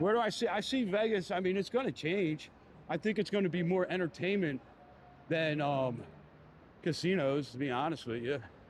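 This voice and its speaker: A man with a Philadelphia accent speaks in a high voice at a moderate pace. His intonation is lively, broken by long, frequent pauses. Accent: Philly. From Philadelphia, US. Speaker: live streamer, city walk vlogger. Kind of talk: casual live stream chat while walking. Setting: outdoors on the Las Vegas Strip. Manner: casual, hesitant with fillers and repetitions.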